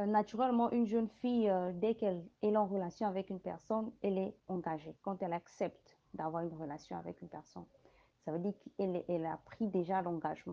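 An unremarkable speaking voice, a woman's at medium pitch, fairly quick in pace, with ordinary pitch variation. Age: 30s. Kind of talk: panel discussion.

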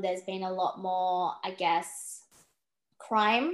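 This woman speaks with an Australian accent. The background is quiet. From Western Australia, Perth. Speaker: empowerment coach and podcaster. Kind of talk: interview conversation.

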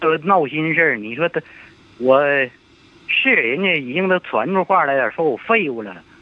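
Long, frequent pauses and very wide pitch swings from a man with a fairly high pitch at a moderate pace. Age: 70s. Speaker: elderly caller. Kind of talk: phone-in advice call. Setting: phone call.

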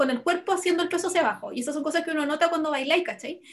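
This is a woman speaking with a Chilean accent. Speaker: podcast co-host. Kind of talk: casual chat.

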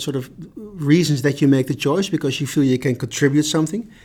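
A man with an ordinary speaking voice talks at a fairly quick pace and a fairly high pitch. The recording is very clean, the background silent. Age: 50s. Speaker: HR director. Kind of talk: casual chat.

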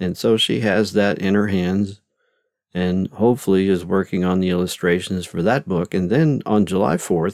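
On a very clean recording with a silent background, a man speaks at a moderate pace and a very deep, low pitch, the sound dry and close with no echo. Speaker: podcast host and novelist. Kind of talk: solo podcast monologue. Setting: home studio. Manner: rambling with fillers.

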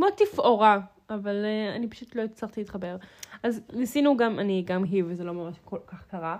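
This woman has a plain, everyday voice at medium pitch with ordinary pitch variation. She speaks at a moderate pace with big swings in loudness. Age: 20s. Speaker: podcast co-host. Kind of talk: casual chat.

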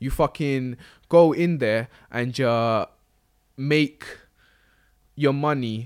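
A London accent with ordinary pitch variation over a very clean recording and a silent background. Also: man. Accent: London Multicultural English. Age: 20s. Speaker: podcast co-host. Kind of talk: casual chat.

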